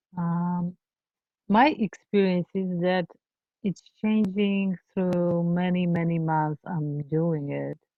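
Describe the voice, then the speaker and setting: A woman with a non-native accent and fairly low pitch speaks at a very slow pace. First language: not English. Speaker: empathy circle facilitator. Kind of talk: group sharing in training session. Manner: halting.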